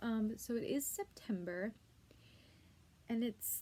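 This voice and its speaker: A woman with an American accent, somewhat breathy, with a dark, mellow tone and fairly even intonation. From US West Coast, San Diego, Southern California. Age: 20s. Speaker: beauty vlogger, aspiring makeup artist. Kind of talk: casual vlog talk to camera. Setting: at home. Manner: casual, many fillers.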